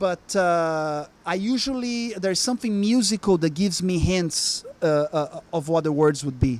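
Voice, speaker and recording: A man speaks at a moderate pace with a Portuguese accent, his high-pitched voice carrying lively intonation and hardly any pauses. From Brazil. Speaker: musician. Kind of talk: interview. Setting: music lounge. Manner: halting, many fillers.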